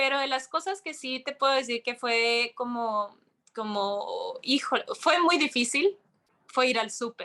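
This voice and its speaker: Raising and projecting her voice, a woman speaks at a high pitch and fairly slow pace with a bright, sharp tone and lively intonation. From Mexico. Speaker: yoga instructor and content creator. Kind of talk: interview conversation. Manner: animated.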